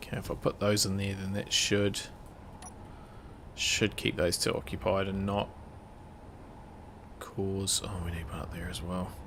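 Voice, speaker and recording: The speaker mumbles, leaving long, frequent pauses. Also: moderate pace. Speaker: gaming streamer. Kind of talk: casual live gameplay commentary. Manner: mumbling.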